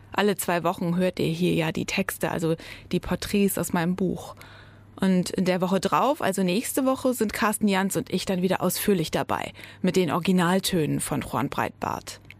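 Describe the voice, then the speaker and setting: In a plain, everyday voice, a woman speaks at medium pitch and a moderate pace with ordinary pitch variation and very even loudness, on a very clean recording with a silent background. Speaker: podcast host and author. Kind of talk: scripted intro.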